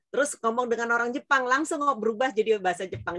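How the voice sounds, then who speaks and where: With a dry, close sound and no echo, a woman speaks in an animated tone at a fairly high pitch. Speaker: business speaker. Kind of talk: interview talk to students. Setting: online event.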